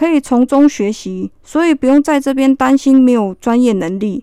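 At a fairly slow pace, a woman with a high pitch and a dark, mellow tone speaks with ordinary pitch variation, in a dry, close sound with no echo. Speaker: army sergeant. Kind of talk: radio interview.

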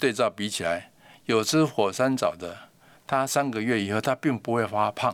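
An ordinary speaking voice at a fairly quick pace with ordinary pitch variation, captured in a very clean recording against a silent background. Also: man. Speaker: algae researcher, company founder. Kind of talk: interview.

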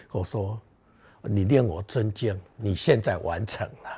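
A man's somewhat breathy voice with a dark, mellow tone, at a fairly low pitch and a very slow pace, in a very clean recording with a silent background. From Taiwan, Beigang (Yunlin). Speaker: artist and gardening speaker. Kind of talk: public talk. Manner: hesitant with many fillers.

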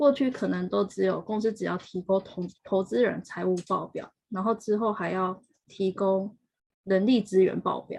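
An ordinary speaking voice with ordinary pitch variation, moving at a fairly slow pace. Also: woman, medium pitch for a woman. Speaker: HR professional working in Japan. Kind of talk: interview. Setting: live stream.

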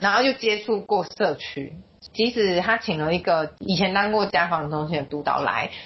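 A woman speaks in a normal speaking voice at a moderate pace. Her medium pitch has ordinary variation. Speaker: social worker. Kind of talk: interview.

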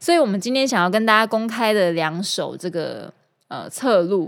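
Lively intonation shapes this woman's speech. She talks fairly slowly. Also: very clean recording, silent background. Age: 30s. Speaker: singer and guitar teacher. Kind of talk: casual podcast monologue.

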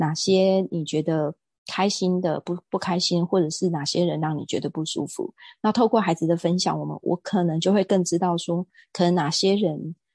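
A woman with a dark, mellow tone speaks at a fairly low pitch and moderate pace, her intonation fairly even. The sound is dry and close with no echo, over a quiet background. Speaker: real estate agent and wellness lecturer. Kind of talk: casual interview.

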